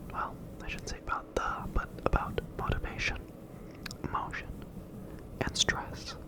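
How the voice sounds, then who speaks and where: Noticeable background noise is present. A man whispers through it at a moderate pace. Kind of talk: ASMR quiz read. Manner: whispered.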